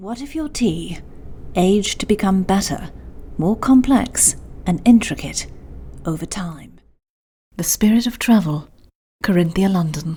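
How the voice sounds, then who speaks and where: Speaking in a British accent, a woman has a dark, mellow, somewhat breathy tone at a medium pitch with lively intonation. Her pace is fairly slow, with long, frequent pauses and big swings in loudness. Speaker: voice actor. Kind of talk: luxury retail ad read.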